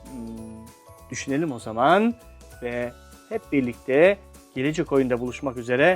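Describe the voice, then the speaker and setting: With music in the background, a man with a fairly high pitch speaks at a fairly slow pace in an upbeat, playful tone with lively intonation. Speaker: meddah storyteller and writer. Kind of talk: family game host talk to camera.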